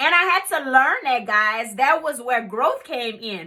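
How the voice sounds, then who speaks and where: A raised, projected voice with a bright, sharp tone comes at a moderate pace. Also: woman. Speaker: life coach. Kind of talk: motivational talk. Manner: loud; casual.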